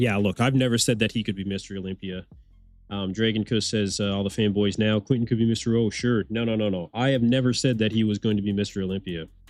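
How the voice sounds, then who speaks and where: Over music in the background, a man with an Eastern Canadian accent talks at a very fast pace in a fairly low pitch. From Eastern Canada. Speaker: bodybuilding livestream host. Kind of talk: live watch-along commentary. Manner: animated, casual.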